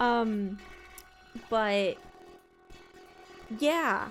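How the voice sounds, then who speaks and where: A woman's high voice with very wide pitch swings, over music in the background. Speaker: streamer. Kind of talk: casual chat. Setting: live stream at desk. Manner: loud; animated.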